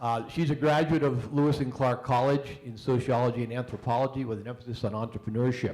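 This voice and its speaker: This man talks at a very fast pace with hardly any pauses, using a medium pitch and fairly even intonation in an American accent. Audible room echo surrounds his voice. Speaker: panel moderator, university engineering staff. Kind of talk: panel moderation and introductions. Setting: stage with live audience. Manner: hesitant, many fillers.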